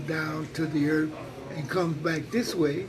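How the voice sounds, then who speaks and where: A man with a high voice talks at a moderate pace over noticeable background noise. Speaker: spiritual elder, teacher. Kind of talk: interview answer, teaching talk.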